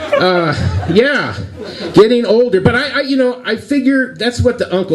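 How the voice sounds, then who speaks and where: Background noise is clearly present while a man speaks fairly fast. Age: 60s. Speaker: stand-up comedian. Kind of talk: live stand-up comedy set. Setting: live venue with audience. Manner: tame, corny.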